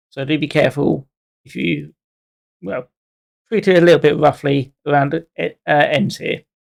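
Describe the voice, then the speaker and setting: A man with a fairly high voice and vocal fry talks at a moderate pace, with ordinary pitch variation. His loudness swings widely, and he takes long, frequent pauses. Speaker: model railway hobbyist reviewer. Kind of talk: scripted narration; casual product review. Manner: halting.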